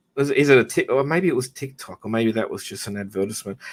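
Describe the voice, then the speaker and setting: A fairly high-pitched male voice with an Australian accent and lively intonation, on a very clean recording with a silent background. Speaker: live stream host. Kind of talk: casual chat.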